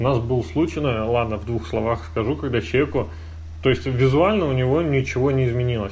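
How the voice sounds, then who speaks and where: At a fairly quick pace, a man with a medium pitch speaks amid audible room echo and noticeable background noise. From Russia, moved around (military family). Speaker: podcast host, programmer. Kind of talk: casual chat.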